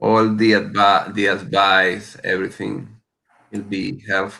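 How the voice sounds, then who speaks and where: A man's fairly low voice with vocal fry and ordinary pitch variation, at a very slow pace. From South America. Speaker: locksmith business owner. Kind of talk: panel discussion. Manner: halting.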